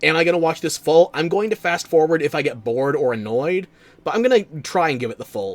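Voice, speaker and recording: A man talks very fast with an American accent at a fairly high pitch. His pitch swings very widely. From New Jersey, US. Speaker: streamer. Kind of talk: live-stream reaction commentary. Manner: casual, conversational.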